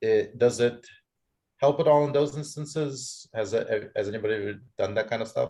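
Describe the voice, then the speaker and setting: A man mumbles at a moderate pace. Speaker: seminar audience member, researcher. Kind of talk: academic Q&A discussion. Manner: mumbling.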